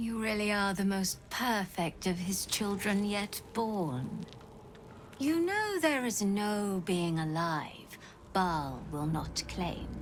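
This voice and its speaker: A put-on character voice, female-sounding, at a medium pitch and very slow pace over clear background noise. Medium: video game. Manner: sardonic, weary.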